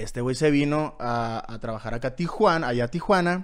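At a moderate pace and with ordinary pitch variation, a man talks against a quiet background. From Mazatlán, Sinaloa, Mexico; Sinaloa, Mexico. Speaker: youtuber. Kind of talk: casual chat. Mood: relaxed, joking, slangy. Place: studio. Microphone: studio mic.

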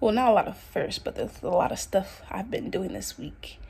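A woman is whispering. She speaks at a moderate pace. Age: young. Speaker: lifestyle vlogger. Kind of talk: casual vlog chat. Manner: casual, rambling with fillers. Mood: upbeat, excited. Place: home room. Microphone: phone near.

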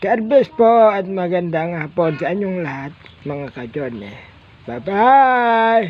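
A man speaks very slowly in a high pitch. His voice makes very wide pitch swings and big swings in loudness. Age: old. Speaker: vlogger. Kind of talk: casual vlog talk.

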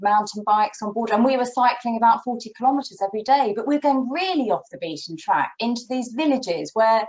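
Over a quiet background, a woman talks with ordinary pitch variation. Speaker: travel journalist guest. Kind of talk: interview answer. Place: home room. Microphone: video call.

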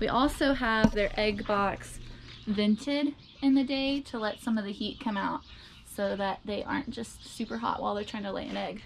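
There is noticeable background noise as a woman speaks at a moderate pace with ordinary pitch variation. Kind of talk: casual tour vlog. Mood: cheerful, laughing. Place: garden. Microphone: phone near.

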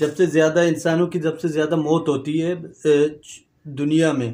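A man speaks with a Baloch accent in a fairly high pitch. His pace is fairly slow. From Balochistan, Pakistan. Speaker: YouTuber. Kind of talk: educational vlog. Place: home room. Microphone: lapel.

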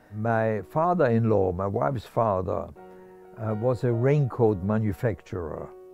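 Against faint background music and a dry sound with no echo, a man speaks at a fairly slow pace with a fairly low pitch and lively intonation. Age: 80s+. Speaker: Holocaust survivor. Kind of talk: interview answer. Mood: warm, animated storytelling. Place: home room.

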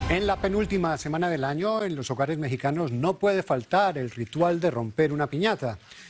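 In a normal speaking voice, a man talks at a fairly quick pace and fairly high pitch with lively intonation and hardly any pauses, over light background noise. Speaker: news anchor. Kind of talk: TV news introduction. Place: studio. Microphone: lapel.

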